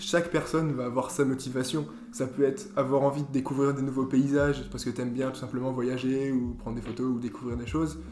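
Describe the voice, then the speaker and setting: Over noticeable background noise and audible room echo, a man talks at a fairly quick pace. His pitch is medium, with ordinary variation. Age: 20s. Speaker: engineering student. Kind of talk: interview. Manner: hesitant, many fillers.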